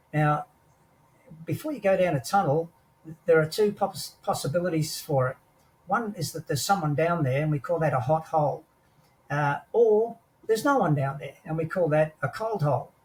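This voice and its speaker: The speaker has an Australian accent and a moderate pace with ordinary pitch variation. Long, frequent pauses break up the speech. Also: man, fairly high pitch for a man. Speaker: war veteran. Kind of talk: interview storytelling.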